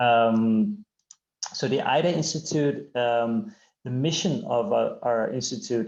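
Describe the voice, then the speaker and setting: Speaking at a fairly slow pace, a man has a medium pitch and an unremarkable speaking voice. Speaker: presenter from a hearing care nonprofit. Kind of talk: webinar presentation. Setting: online webinar.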